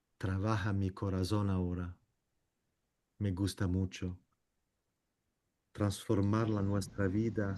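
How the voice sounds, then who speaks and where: A man with a non-native accent talks at a very slow pace and a fairly low pitch. His intonation is monotone and flat, with long, frequent pauses. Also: very even loudness. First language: not Spanish (speaking Spanish). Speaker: meeting moderator. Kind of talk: group discussion moderation. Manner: halting.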